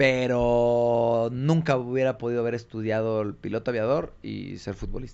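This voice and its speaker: At a moderate pace, a man talks in a monotone, flat intonation at medium pitch. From Mexico, Tonalá, Jalisco. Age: young. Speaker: former professional footballer. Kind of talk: interview.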